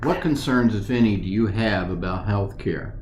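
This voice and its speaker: Against noticeable background noise and audible room echo, a man with a fairly low pitch speaks at a moderate pace. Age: 60s. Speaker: retiree interviewee. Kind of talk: interview. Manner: halting.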